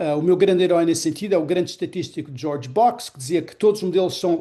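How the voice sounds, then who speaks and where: Against a quiet background, a man with a high pitch and a dark, mellow tone talks at a fairly quick pace. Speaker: economics professor and public policy researcher. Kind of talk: lecture.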